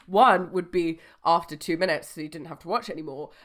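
Talking at a very fast pace, a woman with a fairly low pitch sounds animated. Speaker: podcast co-host. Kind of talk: casual chat.

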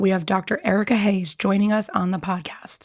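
A woman speaks at a fairly quick pace in a medium pitch. Her voice is somewhat breathy. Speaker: medical podcast host. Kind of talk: interview.

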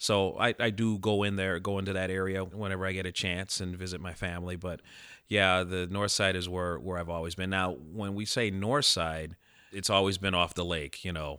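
A man with an American accent, a very deep, low pitch and a bright, sharp tone, at a fairly quick pace with fairly even intonation, in a very clean recording with a silent background. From Chicago. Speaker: baseball fan. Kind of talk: casual chat. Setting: studio.

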